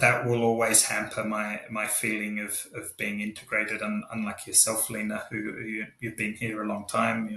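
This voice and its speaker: A man speaks with an Australian accent in a fairly low, monotone, flat voice, with hardly any pauses. Noticeable background noise sits behind him. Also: moderate pace. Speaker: expat professional. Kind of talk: panel discussion. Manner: halting.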